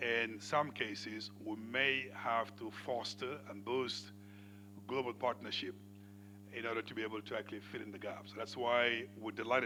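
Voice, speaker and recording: A man's fairly low voice with a bright, sharp tone, fairly even intonation and a moderate pace, in audible room echo. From Senegal. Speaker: panel moderator. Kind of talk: moderating a conference panel.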